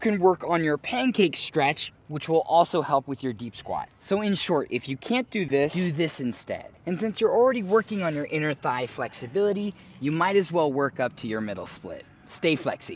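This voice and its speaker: A man speaks at a moderate pace with hardly any pauses and very wide pitch swings. The sound is dry with no echo, over light background noise. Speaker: flexibility coach. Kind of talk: tutorial. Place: open country. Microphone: camera far.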